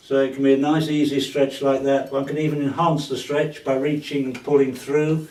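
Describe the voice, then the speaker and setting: A man's fairly high-pitched voice at a moderate pace over noticeable background noise. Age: 70s. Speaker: fitness trainer. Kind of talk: casual talk to camera during workout.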